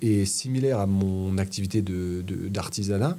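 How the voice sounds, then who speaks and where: Very slowly, a man speaks in a dark, mellow tone. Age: 30s. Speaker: former heating tradesman recovering from spine fracture. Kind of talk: casual chat. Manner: halting.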